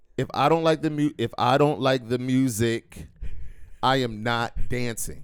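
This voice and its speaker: In an ordinary speaking voice, a man with an American accent talks at a fairly slow pace, medium in pitch with ordinary pitch variation. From Philadelphia, US. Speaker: podcast host. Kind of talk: casual chat.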